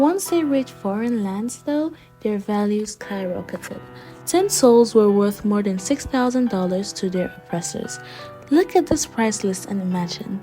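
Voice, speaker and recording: Over music in the background, a woman with a fairly high voice speaks at a moderate pace, her pitch swinging very widely. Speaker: young author and vlogger. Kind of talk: educational history narration.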